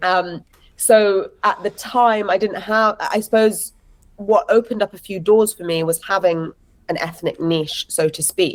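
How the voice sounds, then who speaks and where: A woman with an English accent, medium pitch, and lively intonation, at a fairly slow pace. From London, England. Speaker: actress and writer. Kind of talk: interview conversation.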